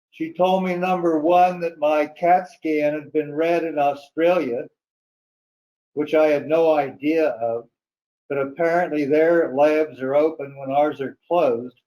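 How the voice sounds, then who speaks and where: A man's dark, mellow tone, fairly slow and fairly even in intonation. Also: fairly high pitch for a man. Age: 90s. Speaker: resident speaking at public hearing. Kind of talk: public comment at hearing.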